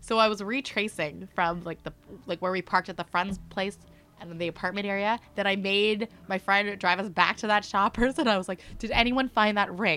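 With a Canadian accent, the speaker talks at a fairly quick pace in an animated tone with ordinary pitch variation. Music plays in the background. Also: woman, medium pitch for a woman. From Mississauga, Ontario, Canada. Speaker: sports in-game host. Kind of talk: casual chat. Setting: studio.

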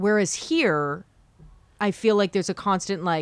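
Speaking at a moderate pace, a woman with a Canadian accent has a medium pitch. The recording is very clean, and the background is silent. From Ottawa, Canada. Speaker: radio talk show host and comedian. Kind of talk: casual interview chat.

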